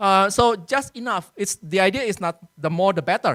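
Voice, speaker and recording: The speaker talks at a moderate pace. The accent is Indonesian. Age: 40s. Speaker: workshop speaker on research publishing. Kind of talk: lecture. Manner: hesitant with many fillers.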